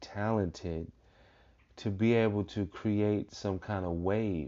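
A man with an unremarkable speaking voice, fairly low in pitch, with fairly even intonation. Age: 30s. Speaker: podcast host. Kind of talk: casual chat.

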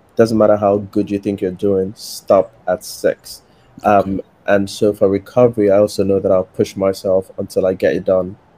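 Fairly low in pitch, a man speaks in a dark, mellow tone with monotone, flat intonation at a moderate pace. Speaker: prospective limb lengthening patient. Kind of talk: casual panel discussion. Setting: video call.

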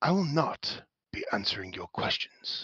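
A man puts on a raspy character voice at a fairly high pitch. He speaks at a fairly slow pace. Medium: actual play. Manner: formal, measured.

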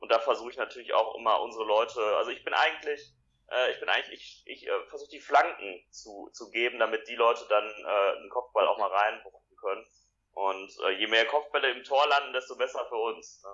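A man speaks at a fairly quick pace, his loudness swinging widely from moment to moment. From Ruhr area, Germany (Essen). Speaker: youth party official. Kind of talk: interview.

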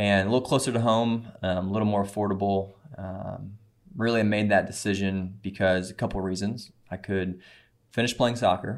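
In a very clean recording with a silent background, a man speaks with a Midwestern American accent and fairly even intonation. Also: fairly low pitch for a man, moderate pace. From US Midwest, Missouri (Cape Girardeau). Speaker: missionary, former prison minister. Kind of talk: testimony. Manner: halting, many fillers.

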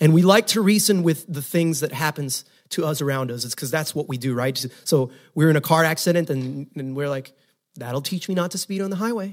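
A man talks at a fairly quick pace in an ordinary speaking voice. His pitch is fairly high, with ordinary variation. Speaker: pastor. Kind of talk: sermon; fervent prayer. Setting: church. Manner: fervent, earnest, pleading.

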